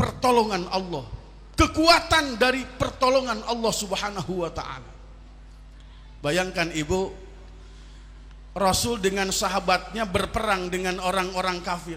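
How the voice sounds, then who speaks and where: With a West Javanese accent, a man uses a raised, projected voice in a high pitch, speaking at a fairly slow pace with lively intonation, long, frequent pauses and audible room echo. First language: Sundanese (speaking Indonesian). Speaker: Islamic preacher (kiai). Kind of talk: sermon.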